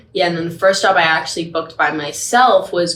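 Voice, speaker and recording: A woman with an American accent speaks at a fairly low pitch with fairly even intonation. Noticeable background noise runs underneath. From Australia, Perth. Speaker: actress. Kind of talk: casual chat.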